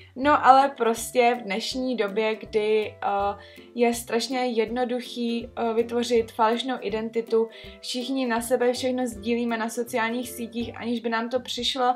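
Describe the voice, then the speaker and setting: At a fairly slow pace, a woman talks at a fairly high pitch in a monotone, flat way, with faint music in the background. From Czech Republic, Trutnov. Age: 20s. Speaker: vlogger. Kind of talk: casual story time talk to camera. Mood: earnest, slightly skeptical. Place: home room.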